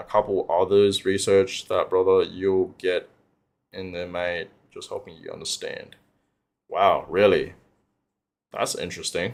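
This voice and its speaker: A man talks fairly slowly, with long, frequent pauses and big swings in loudness. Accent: Australian. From Australia. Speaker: crypto livestreamer. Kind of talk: livestream chat reading. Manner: casual, filler-heavy.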